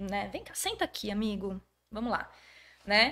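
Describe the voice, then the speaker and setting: A woman speaks with a fairly high pitch. Her tone is bright and sharp, with ordinary pitch variation. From Brazil, Jundiaí (São Paulo state). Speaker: schoolteacher and historian. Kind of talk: casual podcast interview.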